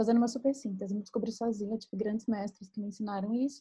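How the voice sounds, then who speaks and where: A woman speaks in a fairly high pitch with a dark, mellow, somewhat breathy tone and monotone, flat intonation. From Brazil, Minas Gerais. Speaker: writer and podcast co-host. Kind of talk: casual chat.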